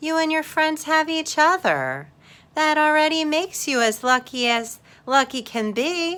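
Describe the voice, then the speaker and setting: This is a put-on character voice. It moves at a moderate pace. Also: woman, high pitch for a woman. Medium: read story. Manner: playful, mischievous.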